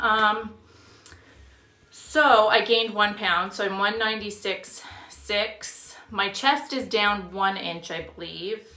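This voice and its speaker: A woman speaks at a fairly high pitch with ordinary pitch variation. Room echo is audible. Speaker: fitness vlogger. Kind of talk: casual vlog monologue.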